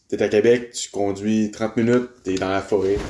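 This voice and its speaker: The man's voice has a dark, mellow tone and a monotone, flat intonation. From Quebec City. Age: 20s. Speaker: French-Canadian guest. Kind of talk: casual chat.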